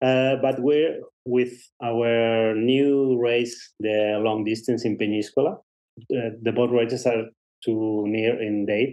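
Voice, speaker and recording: Delivered at a very slow pace in a Spanish accent, the speech is monotone and flat, with very even loudness. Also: man, medium pitch for a man. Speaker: race director. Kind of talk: interview. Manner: halting.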